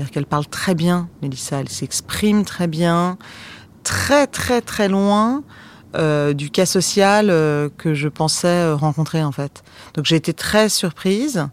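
A woman at a very slow pace, with fairly low pitch and lively intonation. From France. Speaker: documentary filmmaker. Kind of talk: interview. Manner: hesitant, many fillers.

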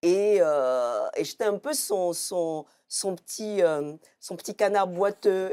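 A woman's dark, mellow tone at a very slow pace, lively intonation, on a very clean recording with a silent background. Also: medium pitch for a woman. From Ivory Coast. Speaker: comic book author. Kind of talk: televised book talk. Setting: TV studio. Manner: halting, many repetitions.

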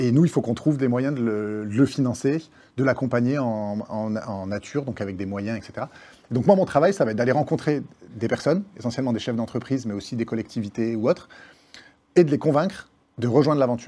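The man's tone is dark and mellow, at a medium pitch with ordinary variation. He talks at a fairly quick pace against a quiet background. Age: 30s. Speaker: nonprofit founder. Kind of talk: interview.

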